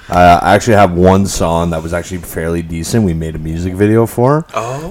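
Very deep, low pitch from a man at a moderate pace, ordinary pitch variation, over noticeable background noise. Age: 30s. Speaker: podcast host. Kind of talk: casual chat. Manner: animated.

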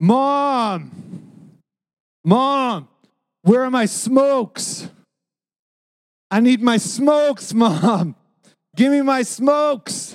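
A put-on character voice unfolds at a very slow pace with long, frequent pauses. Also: man, extremely high pitch for a man. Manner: slurred, pleading.

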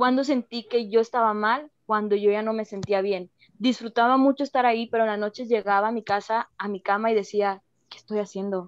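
A woman in a normal speaking voice moves at a fairly quick pace, her fairly high pitch carried in fairly even intonation. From Mexico. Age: 20s. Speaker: former youth political worker. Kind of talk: casual chat.

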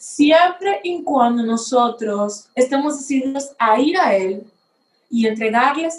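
Very slow speech carries lively intonation. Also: woman. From Dominican Republic. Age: young. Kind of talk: personal testimony.

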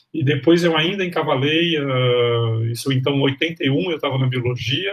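A man talks at a fairly slow pace and a medium pitch while noticeable background noise continues. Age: 60s. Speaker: history professor. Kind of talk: interview. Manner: halting.

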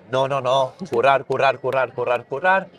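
A man with a fairly high voice speaks at a moderate pace, with ordinary pitch variation. It is a normal speaking voice, recorded with a dry, close sound and no echo. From Catalonia, town outside Barcelona. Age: 30s. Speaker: skateboard maker. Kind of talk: interview. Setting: festival.

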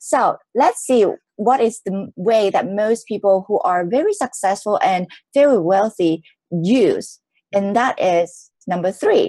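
Fairly slow delivery with a dark, mellow tone, ordinary pitch variation and a dry, close sound with no echo. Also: woman, fairly high pitch for a woman. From Hong Kong. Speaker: entrepreneur and speaker. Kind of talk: interview. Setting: live stream.

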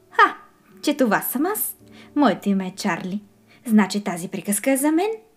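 Music plays behind a woman whose fairly high voice carries an animated, playful tone and lively intonation. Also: moderate pace. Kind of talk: children's storybook reading aloud. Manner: animated, playful, with distinct character voices; warm, gentle storyteller pacing.

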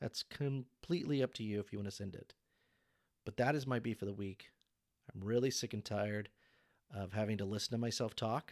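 Against a very clean recording with a silent background and a dry, close sound with no echo, a man with a fairly low pitch talks at a fairly quick pace broken by long, frequent pauses. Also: ordinary pitch variation. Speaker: solo podcaster. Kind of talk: solo podcast monologue, casual. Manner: halting, self-doubting, rambling.

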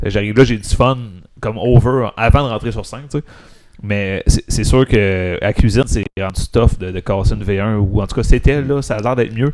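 A man with a plain, everyday voice speaks at a moderate pace and medium pitch, with big swings in loudness. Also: ordinary pitch variation. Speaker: stand-up comedian. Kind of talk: casual chat.

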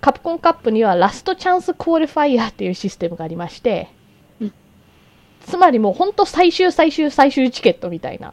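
In a high pitch, a woman talks at a fairly quick pace with an animated tone, very wide pitch swings and big swings in loudness, in a dry, close sound with no echo. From Japan. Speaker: podcast host. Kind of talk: casual chat.

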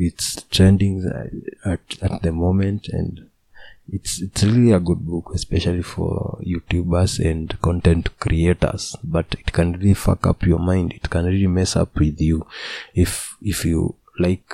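In a Kenyan accent, a man speaks fairly slowly at a very deep, low pitch, with a dark, mellow tone, monotone, flat intonation and a dry, close sound with no echo. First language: Kikuyu or Swahili. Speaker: youtuber and podcaster. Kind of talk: solo casual monologue. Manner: halting, with frequent repetitions.

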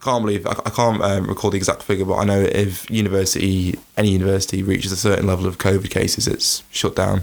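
This man has a fairly low pitch. His intonation is monotone and flat. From Isle of Man. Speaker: student union staff member and student. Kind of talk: casual interview.

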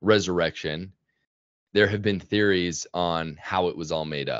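A man with a Utah accent speaks at a fairly slow pace. His voice is very deep and low, with ordinary pitch variation. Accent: American (Utah). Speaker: YouTube creator on religion. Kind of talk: casual interview.

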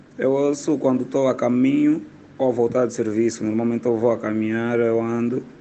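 This man's voice carries a dark, mellow tone. His intonation stays fairly even. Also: medium pitch for a man, moderate pace. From Angola. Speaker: comedian. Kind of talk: voice message.

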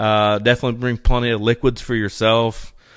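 The speaker has a Midwestern accent. The pace is fairly quick. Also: man. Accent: Midwestern, noticeable outside his region. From East Central Indiana. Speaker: bow hunter and hunting podcaster. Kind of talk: casual chat.

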